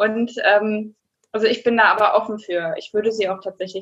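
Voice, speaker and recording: An unremarkable speaking voice at a moderate pace. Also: woman. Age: 30s. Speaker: adult educator. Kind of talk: casual interview.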